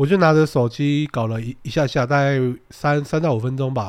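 A man with a plain, everyday voice, fairly quick delivery and ordinary pitch variation, in a very clean recording over a silent background. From Taiwan. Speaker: podcast co-host. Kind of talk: casual chat.

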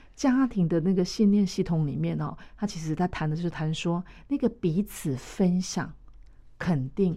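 A woman's somewhat breathy voice, dark and mellow in tone, at a fairly slow pace on a very clean recording with a silent background. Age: 50s. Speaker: mental health association vice-chair. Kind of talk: radio interview.

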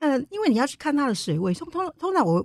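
Talking at a very fast pace, a woman swings her pitch very widely in a dry, close recording with no echo. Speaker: independent journalist. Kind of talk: interview. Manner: gentle, soft tone.

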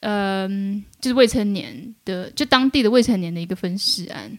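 Speaking with an unremarkable speaking voice, a woman keeps a medium pitch, ordinary pitch variation and a moderate pace. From mainland China from age 10, born in Taiwan. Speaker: media worker, freelance journalist. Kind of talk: casual interview chat.

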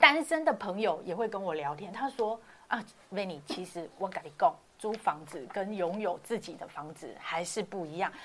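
At a moderate pace and medium pitch, a woman speaks with big swings in loudness. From Taiwan, Hakka background. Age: 40s. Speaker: hotel industry worker. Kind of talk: casual chat. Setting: online livestream. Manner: animated, laughs often.

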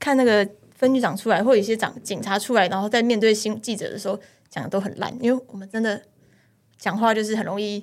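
A woman's fairly high voice at a very fast pace, with fairly even intonation. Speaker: police officer. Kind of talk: casual chat.

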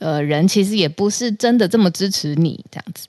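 Against a quiet background, a woman with a Taiwanese accent speaks at a moderate pace in a fairly low voice with a dark, mellow tone and very wide pitch swings. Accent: Taiwanese Mandarin. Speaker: news podcast co-host. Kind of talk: casual news discussion.

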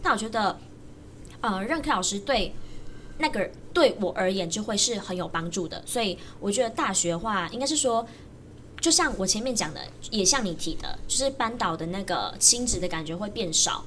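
A woman speaks at a moderate pace with a medium pitch, lively intonation, and long, frequent pauses. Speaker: university student and jump rope coach. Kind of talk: casual chat.

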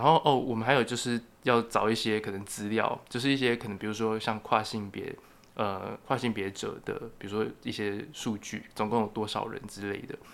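Talking at a medium speed and medium pitch, a man with an unremarkable speaking voice keeps his intonation fairly even. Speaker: journalism and sociology student. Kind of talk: casual interview.

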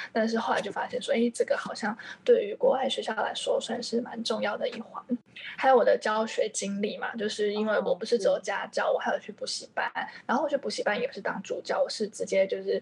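Amid noticeable background noise, a woman speaks at a very fast pace. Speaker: freelance English teacher. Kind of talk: podcast interview.

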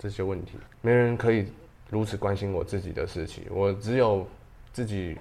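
This man has a fairly low pitch and ordinary pitch variation. He has an unremarkable speaking voice. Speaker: ceramic artist and pottery teacher. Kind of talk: casual interview.

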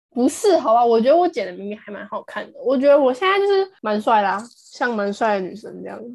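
A woman with a high pitch, a fairly quick pace, hardly any pauses, very wide pitch swings and big swings in loudness. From Taiwan, Taipei. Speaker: podcast co-host, university student. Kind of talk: casual chat. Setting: remote recording.

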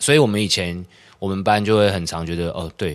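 The background stays quiet. A man talks fairly quickly, his pitch varying in an ordinary way. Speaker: theatre practitioner. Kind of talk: casual chat.

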